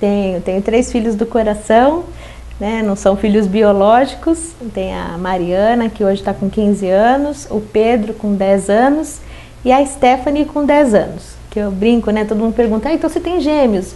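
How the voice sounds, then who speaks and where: A woman with a Paulista accent speaks at a moderate pace, her fairly high voice carrying lively intonation. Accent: Paulista Brazilian Portuguese. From Osasco, São Paulo, Brazil. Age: 40s. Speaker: city councillor. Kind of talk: interview.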